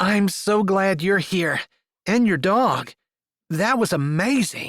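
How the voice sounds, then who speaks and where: Fairly slow delivery in a put-on character voice, pitched in the middle range. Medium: read story.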